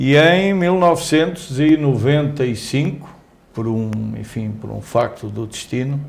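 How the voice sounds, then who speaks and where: A man with a fairly high pitch speaks fairly slowly with lively intonation. The room has audible echo, and noticeable background noise comes through. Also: big swings in loudness. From Portugal (Coimbra). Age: 60s. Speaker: company executive. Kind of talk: interview. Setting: newsroom.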